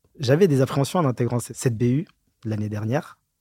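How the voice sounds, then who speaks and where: Dry and close with no echo, a man's dark, mellow, somewhat breathy voice moves at a fairly quick pace. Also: very clean recording, silent background. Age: young. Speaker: auditor. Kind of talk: interview.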